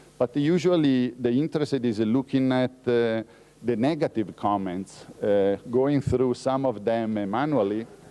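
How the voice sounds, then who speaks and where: With an Italian accent, a man speaks at a fairly slow pace in a dark, mellow tone with ordinary pitch variation. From Italy. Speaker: researcher. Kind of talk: lecture. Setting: conference talk. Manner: halting, many fillers.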